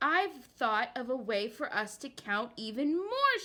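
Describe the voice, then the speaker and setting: Using a put-on character voice, a woman speaks at a fairly slow pace with a high pitch and very wide pitch swings. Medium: read story.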